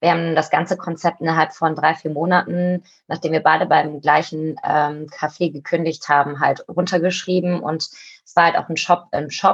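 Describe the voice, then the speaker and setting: This woman's fairly low voice stays monotone and flat, moving at a moderate pace. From Cologne, Germany. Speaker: co-founder of an online shop. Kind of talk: interview conversation.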